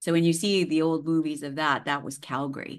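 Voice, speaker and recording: A woman speaks in a Western Canadian accent. Her pace is moderate, and the background is quiet. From Canadian prairies, Saskatchewan. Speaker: holistic healer. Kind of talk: interview conversation.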